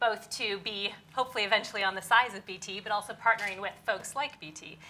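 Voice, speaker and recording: In an American accent, a woman talks at a fairly quick pace with fairly even intonation and a fairly high pitch, and the room echo is audible. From US. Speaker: venture capital investor. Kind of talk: panel discussion. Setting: conference stage with audience.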